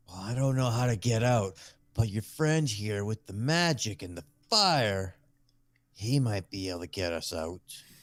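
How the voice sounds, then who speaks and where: On a very clean recording with a silent background, a man does a put-on character voice at a fairly low pitch, with lively intonation, big swings in loudness and a moderate pace. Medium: actual play. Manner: eager, manic, fixated on fire.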